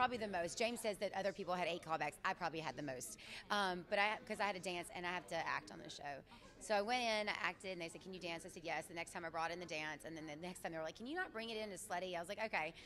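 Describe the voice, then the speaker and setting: Speaking very fast in an animated tone, a woman with a Southern accent has a fairly low pitch. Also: ordinary pitch variation. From Mississippi. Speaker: actress and dancer. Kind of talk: red carpet interview. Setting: premiere event.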